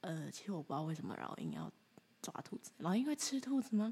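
Her voice is somewhat breathy. The woman's intonation is lively. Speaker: podcast host, artist. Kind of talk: solo monologue with storytelling. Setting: alone at home, early morning.

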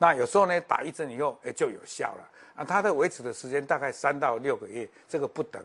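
In a quiet background, a man with a fairly high pitch talks at a very fast pace, with big swings in loudness and ordinary pitch variation. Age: 70s. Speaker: health educator. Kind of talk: lecture. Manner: halting, many filler sounds.

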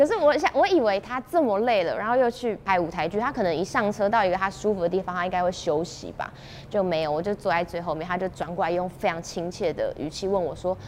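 A woman talks at a very fast pace with hardly any pauses, her pitch medium and its variation ordinary. Noticeable background noise runs under her voice. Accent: Taiwanese. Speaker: TV host and performer. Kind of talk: interview. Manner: clear articulation.

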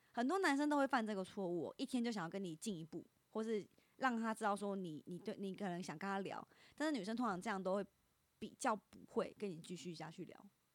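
A woman talks at a very fast pace with lively intonation. Her pitch is medium. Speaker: internet influencer. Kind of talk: casual chat.

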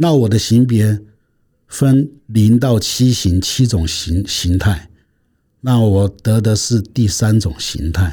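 On a very clean recording with a silent background, a man with a dark, mellow, somewhat breathy voice speaks at a very slow pace. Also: ordinary pitch variation. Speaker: patient association chairman, retired naval officer. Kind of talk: interview testimony. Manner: halting, many fillers.

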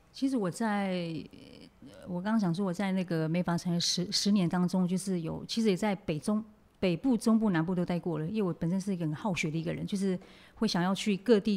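An ordinary speaking voice from a woman, medium in pitch, fairly quick in pace, with fairly even intonation. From Taiwan, Nantou Atayal village. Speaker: makeup artist. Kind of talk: interview.

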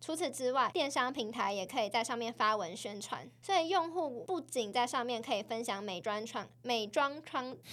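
Lively intonation from a woman with a high-pitched voice. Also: moderate pace, hardly any pauses. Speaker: podcast co-host. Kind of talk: casual chat.

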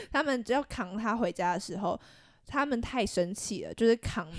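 The pace here is moderate. The speaker has a Taiwanese accent and lively intonation. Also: woman. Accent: Taiwanese Mandarin. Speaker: podcast co-host. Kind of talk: casual chat.

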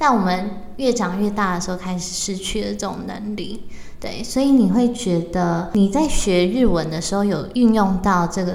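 A woman at a medium pitch and moderate pace, with ordinary pitch variation and hardly any pauses, amid audible room echo and noticeable background noise. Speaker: podcast host. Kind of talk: interview.

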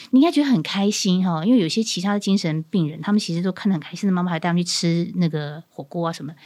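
A woman speaks at a very fast pace. The recording is very clean, with a silent background. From southern Taiwan, Pingtung. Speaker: former TV news anchor turned nurse. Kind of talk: casual interview chat. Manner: clear precise enunciation.

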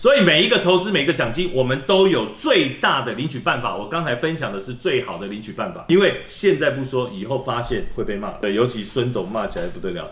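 Over noticeable background noise, a medium-pitched man talks at a fairly quick pace with hardly any pauses, his pitch swinging very widely and his loudness in big swings. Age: 50s. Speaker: company executive. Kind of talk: promotional interview.

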